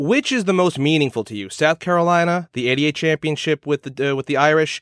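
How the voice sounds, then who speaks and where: Delivered at a very fast pace with ordinary pitch variation, the speech is recorded very cleanly, dry and close with no echo, against a silent background. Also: man. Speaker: radio host interviewer. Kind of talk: radio interview. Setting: studio.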